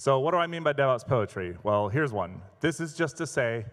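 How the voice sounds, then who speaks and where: Lively intonation marks a man's plain, everyday voice. He speaks at a fairly quick pace. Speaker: education evangelist, former literature teacher. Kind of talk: conference talk. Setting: live conference stage. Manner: casual, humorous.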